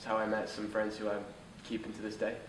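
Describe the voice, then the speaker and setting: A man's fairly low voice amid noticeable background noise and audible room echo. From Scotland. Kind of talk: interview answers.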